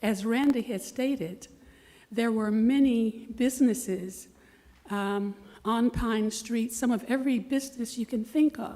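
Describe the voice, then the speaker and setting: In a Florida accent, a woman speaks fairly slowly with fairly even intonation. Her fairly high voice has a dark, mellow tone. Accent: Southern US (Florida). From US South, Leesburg, Florida. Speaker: resident speaking at public comment. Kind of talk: public comment at city meeting. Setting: city commission meeting. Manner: formal.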